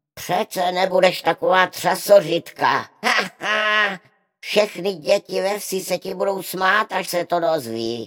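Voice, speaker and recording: In a put-on character voice, a man sounds whiny at a high pitch with ordinary pitch variation. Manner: whining, mocking, unyielding.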